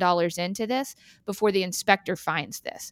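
A woman with an American accent and a plain, everyday voice, ordinary pitch variation, a dry, close sound with no echo, on a very clean recording with a silent background. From Texas, Austin. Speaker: realtor. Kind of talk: interview.

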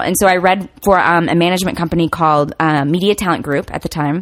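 A woman's plain, everyday voice, fairly low in pitch, at a fairly quick pace with fairly even intonation. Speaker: actor. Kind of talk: casual interview chat.

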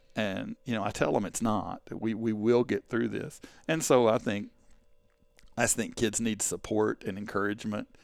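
With an East Texas accent, a man talks at a fairly low pitch and a moderate pace, his intonation fairly even. The recording is very clean, with a silent background. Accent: East Texas Southern. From East Texas (Canton). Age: 50s. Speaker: school administrator and teacher. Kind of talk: casual interview chat.

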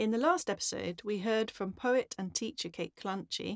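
The woman uses an ordinary speaking voice. She talks at a moderate pace with ordinary pitch variation. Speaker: podcast host and languages teacher. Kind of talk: interview, casual conversational.

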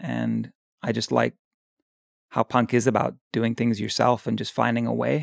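A man at a moderate pace with long, frequent pauses, in a dry, close sound with no echo. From Victoria, Canada. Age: 40s. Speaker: artist. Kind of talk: casual chat.

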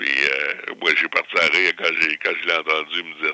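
Noticeable background noise accompanies a man talking at a fairly slow pace. The sound is dry and close, with no echo. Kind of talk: interview.

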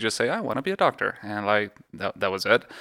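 A man speaks with a slight Mexican accent. His tone is bright and sharp, and his pitch is fairly low. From Mexico. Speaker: radiologist. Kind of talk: casual interview. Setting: in person at a home.

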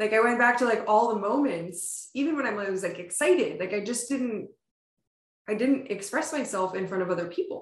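A woman speaks at a fairly high pitch and fairly quick pace, somewhat breathy. Her intonation is lively. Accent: American. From US Northeast, Pennsylvania (Poconos). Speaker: startup founder and CEO. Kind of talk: casual interview.

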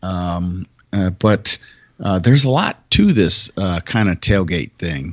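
With an American accent, a man speaks in a very deep, low voice at a fairly slow pace, his pitch varying in an ordinary way. The sound is dry and close, with no echo. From Michigan, US. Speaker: army veteran, podcast co-host. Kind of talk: casual chat.

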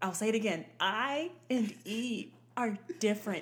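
Fairly high in pitch and somewhat breathy, a woman speaks at a very slow pace with an American accent. Her intonation is lively. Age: 30s. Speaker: podcast guest, host's sister. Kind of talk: casual chat. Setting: studio, shared single mic.

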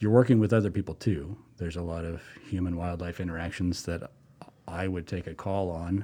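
A man's very deep, low voice with a dark, mellow tone and fairly even intonation. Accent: American. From Colorado. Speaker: wildlife officer. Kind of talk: interview.

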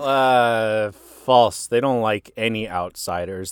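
In a very clean recording with a silent background, a man with a plain, everyday voice and an American accent speaks at a fairly slow pace, his pitch medium with ordinary variation. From US Midwest, northern Illinois. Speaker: podcast co-host. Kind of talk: casual chat.

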